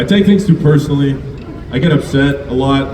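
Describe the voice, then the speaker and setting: The intonation is lively, in a Canadian accent. Audible room echo and noticeable background noise surround the voice. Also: man. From Alberta, Canada. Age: 30s. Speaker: comedian. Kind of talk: stand-up. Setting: stage with audience.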